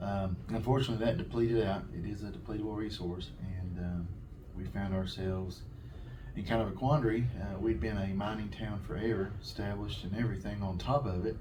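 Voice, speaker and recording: A man with an American accent speaks at a fairly quick pace, his fairly low pitch held in fairly even intonation, with noticeable background noise and audible room echo. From southwest Virginia, Appalachia. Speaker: town economic development official. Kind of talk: interview.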